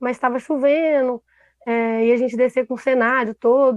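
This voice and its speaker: A woman's voice sits high in pitch. Her intonation is fairly even. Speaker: theatre producer. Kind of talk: panel discussion. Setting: live stream.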